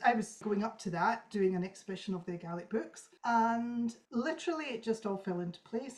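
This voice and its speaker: In a Scottish accent, a woman talks at a fairly quick pace. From Scotland. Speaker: traditional harpist. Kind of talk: interview. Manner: fast.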